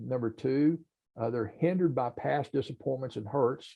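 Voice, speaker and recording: This man's medium pitch shows ordinary pitch variation as he talks at a fairly slow pace. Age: 60s. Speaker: podcast host. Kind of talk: casual chat. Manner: halting, many fillers.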